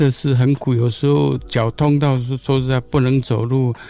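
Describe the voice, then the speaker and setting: A man talks at a fairly slow pace. He has a normal speaking voice. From Taiwan, Gongliao, New Taipei. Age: 60s. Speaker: blind runner. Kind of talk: interview.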